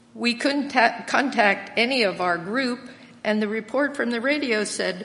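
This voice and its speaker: A woman with an American accent and ordinary pitch variation, over noticeable background noise. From Lancaster County, Pennsylvania. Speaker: church member sharing testimony, retired English teacher. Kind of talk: testimony. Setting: church.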